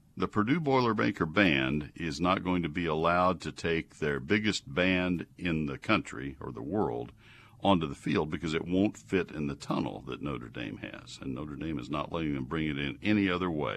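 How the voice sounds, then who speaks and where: In a Texan accent, the speaker talks at a fairly slow pace with vocal fry and lively intonation against a quiet background. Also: man. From Texas (College Station). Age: 70s. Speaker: radio gardening show host. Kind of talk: call-in advice radio. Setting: studio.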